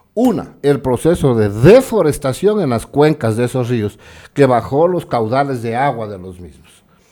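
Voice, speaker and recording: The voice has a dark, mellow tone and lively intonation at a moderate pace. The recording is very clean with a silent background. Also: man, medium pitch for a man. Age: 60s. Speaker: guest commentator on local social issues. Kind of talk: TV talk show interview. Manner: animated.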